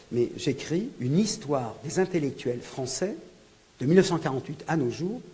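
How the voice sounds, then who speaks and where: With audible room echo, a man with a fairly high pitch talks at a moderate pace, his pitch swinging very widely. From France (born in Algeria). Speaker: professor and author. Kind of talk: book presentation lecture. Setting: lecture hall with audience. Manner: hesitant, many fillers.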